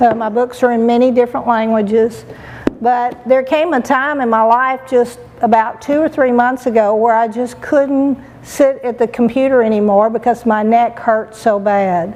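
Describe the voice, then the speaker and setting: Noticeable background noise surrounds a woman with a high voice. She speaks at a moderate pace with fairly even intonation. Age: 60s. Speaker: patient. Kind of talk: testimony. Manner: halting.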